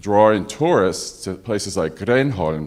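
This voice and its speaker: A man with a New York accent talks at a fairly slow pace. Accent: New York American English. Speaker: physician, audience member. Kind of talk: panel discussion audience comment.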